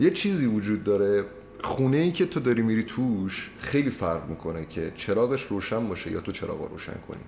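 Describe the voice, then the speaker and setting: With noticeable background noise behind him, a man at medium pitch speaks at a very fast pace with very wide pitch swings. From Iranian Azerbaijan. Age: 20s. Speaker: law student. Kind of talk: casual chat.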